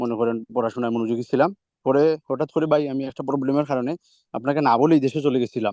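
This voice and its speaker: A man's medium-pitched voice, dark and mellow, with fairly even intonation and a dry, close sound free of echo. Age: 20s. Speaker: student. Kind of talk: testimony. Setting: video call.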